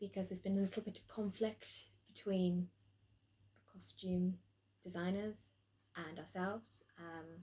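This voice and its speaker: With a dark, mellow tone, a somewhat breathy woman speaks at a medium pitch and moderate pace, with fairly even intonation and long, frequent pauses. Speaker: drama student. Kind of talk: spoken video log. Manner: hesitant, many ums.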